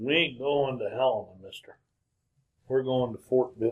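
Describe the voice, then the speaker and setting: Putting on a character voice in a Western US accent, a man speaks with monotone, flat intonation. His loudness swings widely. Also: medium pitch for a man, moderate pace. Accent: Western frontier drawl. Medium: old radio play. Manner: terse, gruff.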